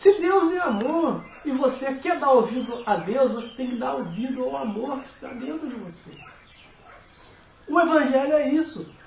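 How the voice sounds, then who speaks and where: The intonation is lively. There is audible room echo and noticeable background noise. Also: man. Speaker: lay preacher. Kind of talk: sermon. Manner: halting.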